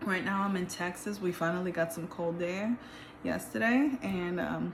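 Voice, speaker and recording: A woman's medium-pitched voice, with ordinary pitch variation, is heard against noticeable background noise. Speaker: tarot reader. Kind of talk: tarot reading. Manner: casual.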